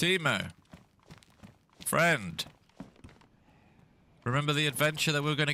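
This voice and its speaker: With a British accent, a man speaks at a fairly high pitch and a moderate pace, using ordinary pitch variation and long, frequent pauses. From England. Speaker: gaming streamer. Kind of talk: casual chat. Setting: live stream.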